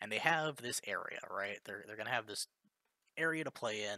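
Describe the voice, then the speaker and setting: The sound is dry and close with no echo as a man speaks in a bright, sharp tone with lively intonation. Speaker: game developer streamer. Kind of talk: live coding tutorial. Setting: live stream. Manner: deliberately lowered volume.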